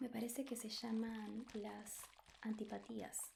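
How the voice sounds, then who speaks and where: There is noticeable background noise as a woman talks in a fairly high voice. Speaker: ASMR creator. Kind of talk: soft-spoken ASMR book reading. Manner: soft-spoken, slow, relaxing.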